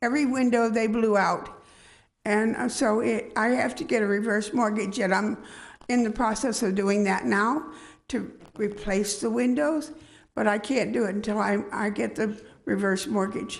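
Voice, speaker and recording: A woman with vocal fry and a fairly high pitch speaks at a moderate pace, with ordinary pitch variation, very even loudness and audible room echo. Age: 80s+. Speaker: homeowner respondent at code hearing. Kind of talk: testimony. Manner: halting.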